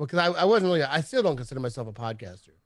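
A man with an American accent at a very fast pace. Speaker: sports fan podcaster. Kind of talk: casual chat.

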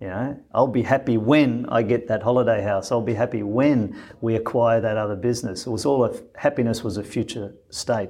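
A man with an Australian accent talks at a fairly quick pace and medium pitch, with fairly even intonation. The background is quiet. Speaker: former business executive and humanitarian. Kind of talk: interview.

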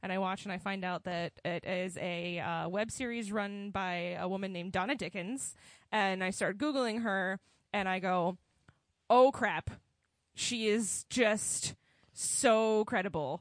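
A woman with a medium-pitched voice speaks at a fairly slow pace with ordinary pitch variation, her sound dry and close with no echo against a quiet background. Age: 20s. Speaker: podcast co-host. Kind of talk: casual chat. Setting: studio. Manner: animated.

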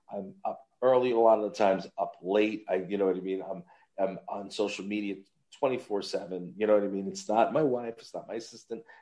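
A man with a Long Island accent talks at a fairly quick pace. His voice has a fairly low pitch and a dark, mellow tone. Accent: New York (Long Island). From Long Island, New York. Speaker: voice actor and podcast host. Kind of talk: casual chat. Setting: remote call from a holiday resort. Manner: animated.

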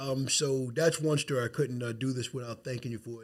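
A man with an American accent, somewhat breathy, at a fairly high pitch and a fairly quick pace. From Long Island, New York. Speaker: podcast host and insurance agent. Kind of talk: podcast interview. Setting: studio, in person.

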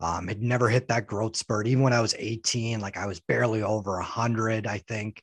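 Recorded in a dry, close sound with no echo against a quiet background, a man with a Canadian accent has an ordinary speaking voice, talking at a fairly quick pace and fairly low pitch. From Canada. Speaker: professional wrestler. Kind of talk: podcast interview.

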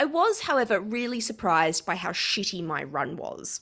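With an Australian accent, a woman speaks at a moderate pace in a bright, sharp tone on a very clean recording with a silent background. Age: 40s. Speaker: podcast co-host. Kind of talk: casual chat.

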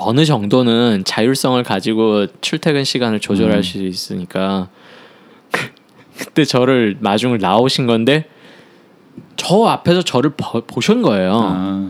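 A man speaks at a fairly slow pace with lively intonation. His pitch is medium. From Seoul, South Korea. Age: 30s. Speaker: choreographer. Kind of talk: life-story interview. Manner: halting.

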